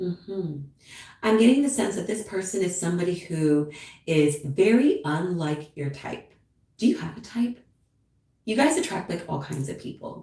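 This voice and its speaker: Somewhat breathy and dark, mellow in tone, a woman speaks at a moderate pace with very wide pitch swings, big swings in loudness, and long, frequent pauses. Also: medium pitch for a woman. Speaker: tarot reader. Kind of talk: live stream tarot reading. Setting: live stream at home with cat. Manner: casual, chatty.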